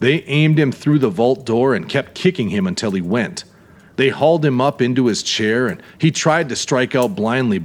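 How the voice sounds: The voice reads naturally. It is a natural reading voice and nothing more.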